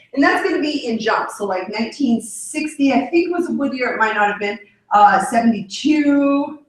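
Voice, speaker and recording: Her pitch high and her intonation lively, a woman speaks with audible room echo. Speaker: yoga and astrology instructor. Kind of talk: lecture. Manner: fast.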